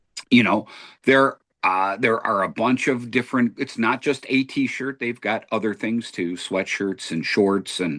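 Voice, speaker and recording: A normal speaking voice from a man, medium in pitch with ordinary pitch variation, at a fairly slow pace. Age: 60s. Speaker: podcast host. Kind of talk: casual debate.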